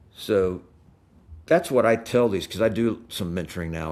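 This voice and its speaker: A very deep, low male voice in a very clean recording with a silent background. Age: 60s. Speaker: retired fighter pilot and airline captain. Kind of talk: podcast interview. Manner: halting, many fillers and restarts.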